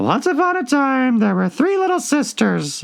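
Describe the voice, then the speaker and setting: In a put-on character voice that is high-pitched and hoarse, the speaker talks at a moderate pace. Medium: read story.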